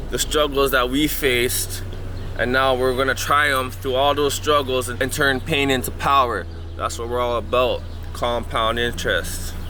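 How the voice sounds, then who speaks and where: A man with a Toronto accent speaks amid audible room echo, with music in the background. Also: medium pitch for a man, ordinary pitch variation, moderate pace. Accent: Toronto urban Canadian English. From Canada, Toronto. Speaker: podcast host. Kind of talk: casual vlog walk-and-talk. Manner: animated.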